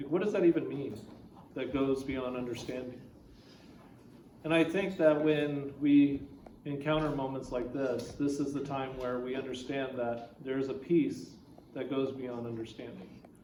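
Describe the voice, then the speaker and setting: A man's fairly high voice at a moderate pace with ordinary pitch variation, with audible room echo and noticeable background noise. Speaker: pastor. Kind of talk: eulogy sermon. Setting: memorial service with audience. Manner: loud.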